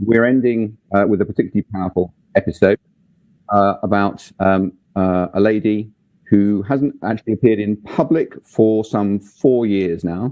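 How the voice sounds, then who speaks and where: In a normal speaking voice, a man talks at a moderate pace with fairly low pitch and ordinary pitch variation. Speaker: museum director and interviewer. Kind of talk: interview questions.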